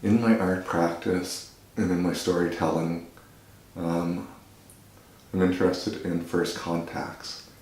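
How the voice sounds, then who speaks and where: A man's very deep, low voice at a fairly slow pace, broken by long, frequent pauses. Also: fairly even intonation. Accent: Maritime Canadian. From Nova Scotia, Canada. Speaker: visual artist. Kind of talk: interview answer.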